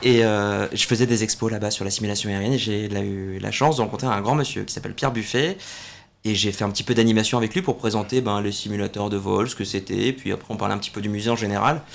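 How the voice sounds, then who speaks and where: Very fast and fairly even in intonation, a man talks at a fairly low pitch. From southern France, Salon-de-Provence area. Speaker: air show commentator and military officer. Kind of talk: interview.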